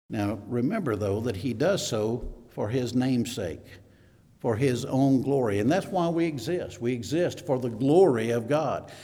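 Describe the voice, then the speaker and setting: A man with a Southern US accent talks at a fairly slow pace in a dark, mellow tone. Audible room echo surrounds his voice. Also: medium pitch for a man, lively intonation. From US South, Mississippi. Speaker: elder, preacher. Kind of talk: sermon. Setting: church. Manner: halting, many fillers.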